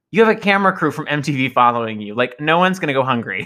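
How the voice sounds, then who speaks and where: A man's raised, projected voice, bright and sharp, at a very fast pace with very wide pitch swings, on a very clean recording with a silent background. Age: 30s. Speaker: podcast co-host. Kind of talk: casual chat.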